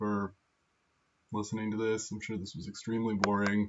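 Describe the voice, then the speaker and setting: This is a man with a fairly low pitch. His intonation is flat and monotone. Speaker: coding student. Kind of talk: project walkthrough. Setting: empty silent room. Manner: halting.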